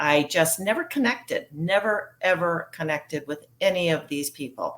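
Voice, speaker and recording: A woman speaks at a moderate pace. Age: 60s. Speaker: recovering alcoholic sharing her story. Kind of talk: personal testimony interview. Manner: conversational with frequent fillers.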